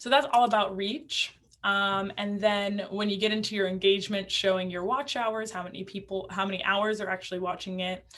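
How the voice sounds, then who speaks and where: This is an ordinary speaking voice from a woman at medium pitch. She talks at a fairly quick pace with fairly even intonation and hardly any pauses. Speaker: instructor for realtors on using video. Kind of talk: online class lecture. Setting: virtual class. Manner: casual, many fillers.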